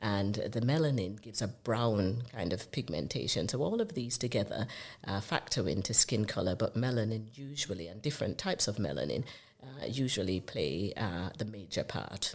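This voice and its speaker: With a Jamaican accent, a woman speaks at a very deep, low pitch with very wide pitch swings. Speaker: consultant dermatologist. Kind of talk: podcast interview.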